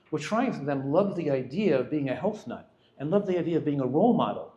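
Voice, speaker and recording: A man speaks very fast in a fairly high voice, his pitch swinging very widely. The room echoes audibly, and background noise is noticeable. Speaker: physician giving a nutrition talk. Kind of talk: lecture. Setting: restaurant event with audience.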